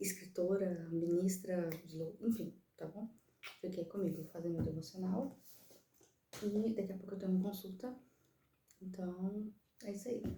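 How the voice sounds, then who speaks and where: A woman with a dark, mellow, somewhat breathy voice speaks at a medium pitch and a moderate pace, with fairly even intonation and long, frequent pauses. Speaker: vlogger, mother and writer. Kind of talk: casual vlog talk to camera. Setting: in a car. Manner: soft-spoken.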